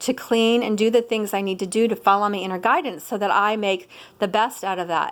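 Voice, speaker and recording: Fairly high-pitched speech from a woman, animated in tone, with ordinary pitch variation on a very clean recording with a silent background. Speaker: spiritual teacher. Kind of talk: casual monologue vlog. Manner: fast.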